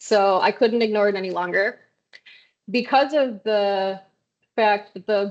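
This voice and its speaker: Against a quiet background, a woman with a normal speaking voice talks at a moderate pace. Her medium pitch stays fairly even. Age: 30s. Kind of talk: presentation talk at online meeting.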